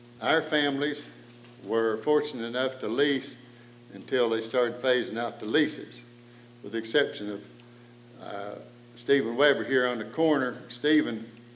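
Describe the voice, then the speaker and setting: In a space with audible room echo, a man at a medium pitch speaks at a moderate pace with ordinary pitch variation and long, frequent pauses. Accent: American. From East Tennessee, Cades Cove. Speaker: panel moderator. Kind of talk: public talk.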